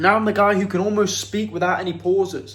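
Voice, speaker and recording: A man speaks at a moderate pace in a high-pitched voice. The room echo is audible. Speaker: addiction recovery coach. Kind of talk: motivational talk to camera. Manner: casual, direct address.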